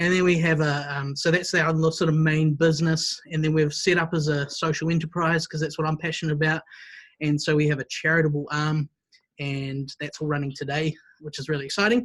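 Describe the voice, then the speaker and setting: A man speaks at a fairly quick pace. His pitch sits fairly high. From New Zealand, Wellington. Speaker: music school director. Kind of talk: interview.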